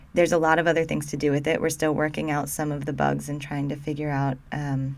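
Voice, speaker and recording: In a Midwestern American accent, a woman speaks at a very fast pace with a very deep, low pitch and monotone, flat intonation. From Ohio, US Midwest. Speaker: linguistics educator. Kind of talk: tutorial.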